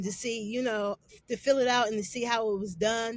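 An ordinary speaking voice from a woman with an American accent, fairly high in pitch, at a moderate pace with fairly even intonation. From Canton, Ohio. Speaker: R&B singer. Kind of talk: casual interview chat.

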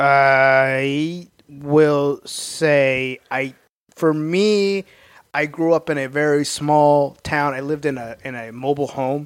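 A man with an American accent and fairly high pitch, speaking at a very slow pace with fairly even intonation and big swings in loudness. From Oklahoma. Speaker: stand-up comedian. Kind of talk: casual chat.

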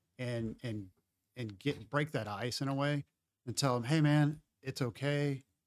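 In an unremarkable speaking voice, a man talks at a fairly slow pace. His pitch sits at a medium level with ordinary variation. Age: 40s. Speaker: jiu-jitsu hobbyist and parent. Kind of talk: casual chat. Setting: studio.

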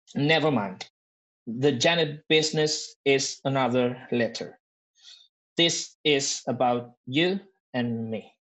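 A man with a Spanish accent speaks at a very slow pace in a fairly high pitch, with ordinary pitch variation and long, frequent pauses. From Argentina. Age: 40s. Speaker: improviser and improv teacher. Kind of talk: casual chat.

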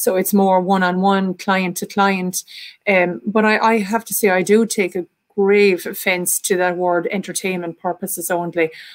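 This woman, with an Irish accent, talks at a moderate pace in a medium pitch with monotone, flat intonation. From Ireland. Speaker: artist and spiritualist medium. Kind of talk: panel discussion.

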